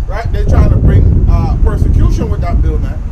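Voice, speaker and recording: A man's voice with noticeable background noise. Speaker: street preacher. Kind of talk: scripture reading mixed with street preaching commentary.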